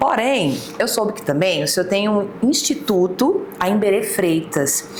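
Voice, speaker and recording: A woman speaks at medium pitch with lively intonation and a fairly slow pace. Noticeable background noise and audible room echo are present. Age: 30s. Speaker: podcast host. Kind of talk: interview.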